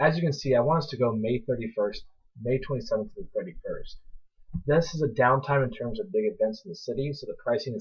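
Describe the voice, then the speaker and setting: A man's fairly high voice, somewhat breathy, rises and falls in very wide pitch swings. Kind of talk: casual slideshow pitch to friends. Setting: poor home microphone.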